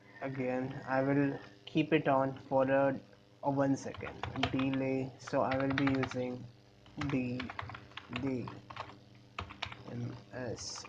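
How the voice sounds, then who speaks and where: A man speaks over noticeable background noise. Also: long, frequent pauses. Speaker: electronics tutorial maker. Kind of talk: tutorial screencast narration. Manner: casual, hesitant.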